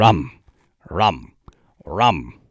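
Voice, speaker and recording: A man performs in a put-on character voice. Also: very deep, low pitch for a man. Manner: exaggerated, silly.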